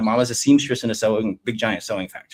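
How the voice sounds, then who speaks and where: A fairly quick American accent in a dry, close sound with no echo. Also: man. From United States, Vietnamese refugee family. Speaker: venture investor. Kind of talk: podcast interview. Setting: live stream.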